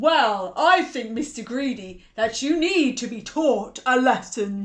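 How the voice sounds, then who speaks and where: A woman bellows in a high-pitched, put-on character voice at a fairly slow pace. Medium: read story. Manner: bellowing, stern.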